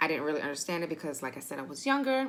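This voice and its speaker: With an animated tone, a woman talks in a very deep, low pitch. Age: 30s. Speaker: booktuber. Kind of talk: casual vlog talk. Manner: fast.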